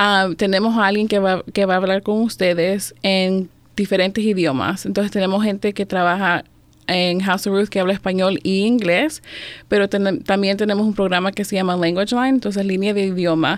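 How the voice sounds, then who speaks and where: A woman talks in a normal speaking voice at medium pitch. Her pace is fairly quick, her loudness very even and her intonation fairly even. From El Salvador, then Maryland from age 7-8. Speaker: domestic violence outreach supervisor. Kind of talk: radio interview.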